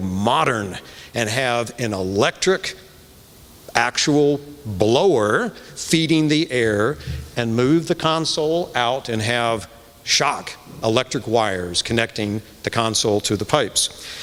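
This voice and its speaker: Over noticeable background noise, a man with a Midwestern American accent talks at a fairly slow pace with lively intonation. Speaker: church committee chair. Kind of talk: speech introducing a concert. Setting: church with live audience.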